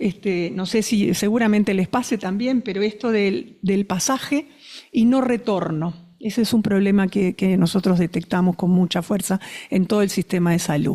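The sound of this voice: A woman speaks at a moderate pace with few pauses, her dark, mellow tone sitting at medium pitch with ordinary pitch variation.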